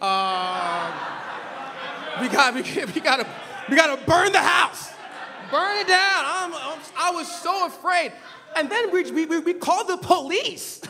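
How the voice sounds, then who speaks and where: Raised and projected, a man's extremely high-pitched voice in an American accent moves at a fairly slow pace with long, frequent pauses, lively intonation and an animated tone over light background noise. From Los Angeles County, Nigerian family. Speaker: preacher. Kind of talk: sermon. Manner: animated storytelling. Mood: humorous anecdote. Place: church. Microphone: podium.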